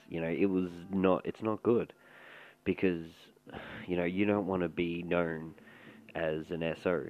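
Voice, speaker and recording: Very deep and low, a man's voice with an Australian accent moves at a fairly slow pace in a flat monotone, broken by long, frequent pauses. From Australia, Melbourne. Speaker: commentary podcaster. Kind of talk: casual commentary.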